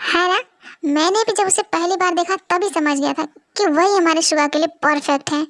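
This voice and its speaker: In a put-on character voice, a woman speaks at a fairly quick pace and an extremely high pitch, the sound dry and close with no echo. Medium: audio drama.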